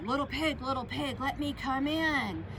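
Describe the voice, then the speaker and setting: A woman speaks in a put-on character voice at a moderate pace. Loud background noise sits behind her. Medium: read story. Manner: menacing.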